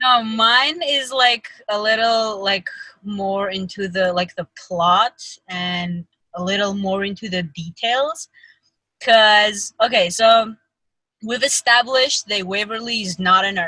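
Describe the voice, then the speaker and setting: A bright, sharp voice with ordinary pitch variation moves at a very slow pace, the sound dry and close with no echo. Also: woman, medium pitch for a woman. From Armenia. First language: Armenian. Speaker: fan podcast host. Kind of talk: casual chat. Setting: video call.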